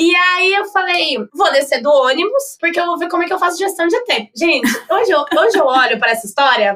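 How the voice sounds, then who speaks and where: With very wide pitch swings and a bright, sharp tone, a woman talks at a fairly quick pace in an extremely high pitch. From Brazil, Campinas (São Paulo state). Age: 20s. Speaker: advertising professional. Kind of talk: podcast interview. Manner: talkative.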